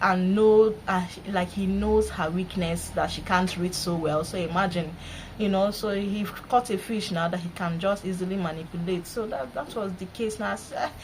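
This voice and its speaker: Speaking with a Nigerian accent at a moderate pace, a woman of medium pitch uses ordinary pitch variation. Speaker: vlogger. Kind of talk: casual vlog monologue. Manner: animated.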